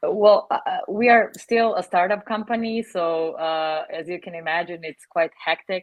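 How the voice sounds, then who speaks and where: A woman with a non-native accent talks at a moderate pace and medium pitch, with ordinary pitch variation, big swings in loudness and hardly any pauses. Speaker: customer success head. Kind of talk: panel discussion. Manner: hesitant, many fillers.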